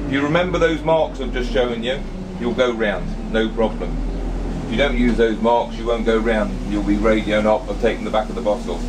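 A man speaks at a fairly quick pace. Noticeable background noise runs throughout. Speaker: bus driver trainer. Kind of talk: driving instruction commentary. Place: bus. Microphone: phone near.

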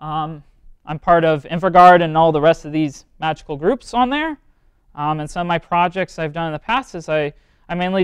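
A man talks at a fairly quick pace with ordinary pitch variation. The sound is dry with no echo, set against a quiet background. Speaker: presenter. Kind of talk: lecture. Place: classroom. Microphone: lapel.

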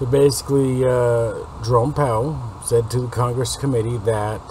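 A man talks at medium pitch with fairly even intonation. Noticeable noise runs in the background. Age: 40s. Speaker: political news commentator. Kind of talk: news commentary monologue. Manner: rambling, self-correcting.

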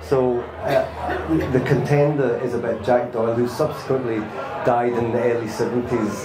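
A man's voice against noticeable background noise. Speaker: guest. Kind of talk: interview answer. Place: stage.

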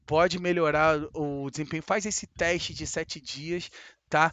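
Against a quiet background, a man speaks in an animated tone at a high pitch. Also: dry sound with no echo. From Brazil, Rio de Janeiro. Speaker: gaming youtuber. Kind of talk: sponsored gameplay tutorial. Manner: casual, animated. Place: home room. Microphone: headset.

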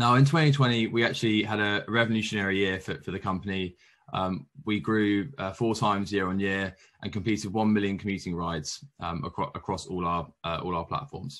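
Against a quiet background, a man with a fairly low pitch and ordinary pitch variation talks at a fairly quick pace in an unremarkable speaking voice. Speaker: presenter. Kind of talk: conference presentation. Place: home room. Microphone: webcam.

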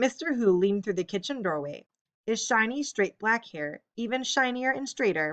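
A natural reading voice, lively in intonation, over a quiet background

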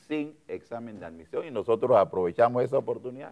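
Against a quiet background, a man speaks at a fairly quick pace. His tone is dark and mellow, with ordinary pitch variation. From Panama. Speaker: politician and physician; politician. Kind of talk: political interview. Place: studio. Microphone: lapel.

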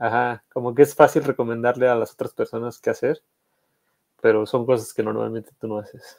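A man talks at a fairly quick pace with big swings in loudness. The background is quiet. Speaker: guest. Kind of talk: casual chat. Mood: relaxed, reflective. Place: home room.

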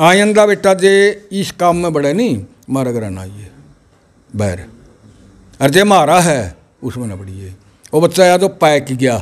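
A man with a fairly high pitch talks with long, frequent pauses, very wide pitch swings and big swings in loudness. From Haryana, India. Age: 70s. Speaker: village elder, grandfather of a top student; interviewee. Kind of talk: interview. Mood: happy, animated. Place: home room. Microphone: handheld.

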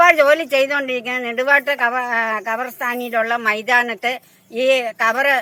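This woman has a fairly high pitch and a bright, sharp tone. Her intonation stays fairly even. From Kerala, Kothamangalam (Ernakulam). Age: 60s. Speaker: manual laborer. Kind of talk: interview.

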